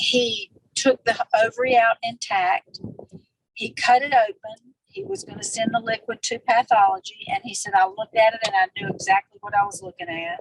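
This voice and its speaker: A woman speaks in an ordinary speaking voice, fairly high in pitch, with lively intonation and big swings in loudness at a moderate pace, in a dry, close sound with no echo. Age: 60s. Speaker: retired nurse, wellness product associate. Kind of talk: interview testimony.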